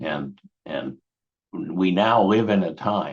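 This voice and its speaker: A man's very deep, low voice carries vocal fry. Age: 70s. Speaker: education professor and co-host. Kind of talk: panel discussion.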